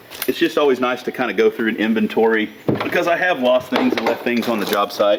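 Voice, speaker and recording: A man talks at a very fast pace with lively intonation and very even loudness. His pitch is medium, and there is noticeable background noise. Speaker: tow truck operator. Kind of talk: casual tutorial. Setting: outdoors.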